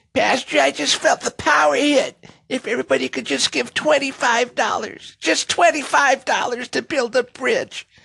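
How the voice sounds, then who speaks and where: The speaker uses a squeaky, put-on character voice at a fairly high pitch, moving at a fairly slow pace with hardly any pauses. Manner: begging for money.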